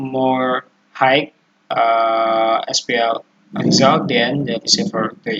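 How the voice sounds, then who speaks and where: In an Indonesian accent, the speaker moves at a very slow pace. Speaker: student presenting research. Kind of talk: tutorial. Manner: halting.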